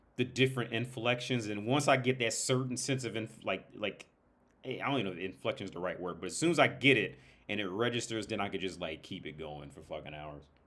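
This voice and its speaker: A man with an American accent talks at a very fast pace with lively intonation and vocal fry. His loudness swings widely. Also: medium pitch for a man. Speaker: livestream host. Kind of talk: casual livestream chat. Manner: animated, repetitive stammering.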